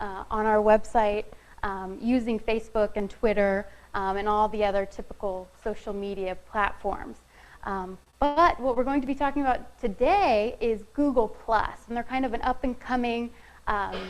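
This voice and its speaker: Recorded with audible room echo, a woman talks at a moderate pace with a fairly high pitch and ordinary pitch variation. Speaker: marketing specialist presenting a session. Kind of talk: conference presentation. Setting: room with live audience, no microphone. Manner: soft-spoken.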